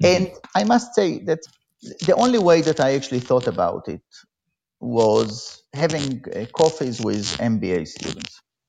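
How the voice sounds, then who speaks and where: A man with a fairly high pitch and vocal fry talks at a fairly slow pace, his pitch swinging very widely. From Israel. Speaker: economics professor. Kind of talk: interview.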